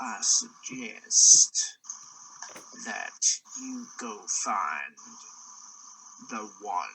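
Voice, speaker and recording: A man performs a put-on character voice. He speaks at a very slow pace with long, frequent pauses. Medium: actual play. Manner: low-voiced, knowing.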